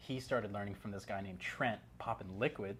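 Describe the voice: A man's fairly low voice with a fairly bright tone, ordinary pitch variation and a moderate pace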